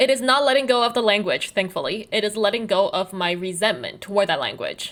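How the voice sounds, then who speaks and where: This woman talks at a very fast pace with a Chinese accent, a fairly high pitch and ordinary pitch variation. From China, then US (New Jersey) as teen. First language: Mandarin Chinese. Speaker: content creator, web comic artist. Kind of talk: personal video essay.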